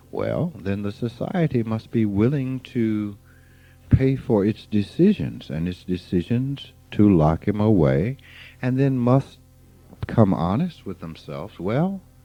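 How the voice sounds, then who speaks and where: Over background music, a man speaks at a fairly slow pace with a fairly low pitch and very wide pitch swings. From US South, rural Mississippi. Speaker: spiritual teacher. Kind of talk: informal spiritual talk.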